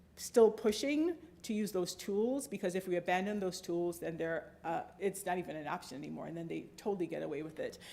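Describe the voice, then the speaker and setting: Speaking at a fairly quick pace with hardly any pauses, a woman uses a medium pitch, a dark, mellow tone and lively intonation. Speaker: civil liberties advocate and lobbyist. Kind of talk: Q&A after a talk. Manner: fast.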